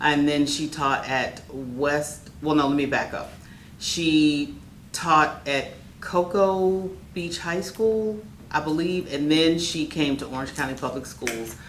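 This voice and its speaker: Someone talks very slowly with an American accent and ordinary pitch variation. Room echo is audible. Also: woman, very deep, low pitch for a woman. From Orlando, Florida. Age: 60s. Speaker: educator. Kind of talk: oral history interview. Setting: neighborhood center.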